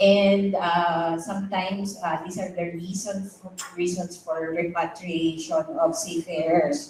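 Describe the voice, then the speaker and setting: A woman with a Filipino accent, fairly low in pitch, at a very slow pace, amid noticeable background noise and audible room echo. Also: fairly even intonation. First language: Tagalog. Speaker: psychiatrist speaker. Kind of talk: lecture. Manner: halting.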